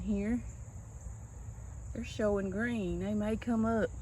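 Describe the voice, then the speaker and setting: A soft-spoken woman with a Southern US accent, at a fairly slow pace amid audible room echo. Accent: US South. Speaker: gardening vlogger. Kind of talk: casual garden tour vlog. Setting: outdoors in yard.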